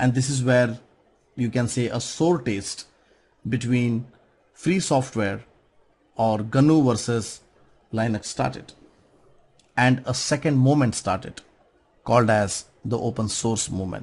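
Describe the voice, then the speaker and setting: With a non-native accent, a man talks at a fairly slow pace and medium pitch, somewhat breathy, with ordinary pitch variation and long, frequent pauses. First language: not English. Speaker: conference speaker on software. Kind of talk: conference talk.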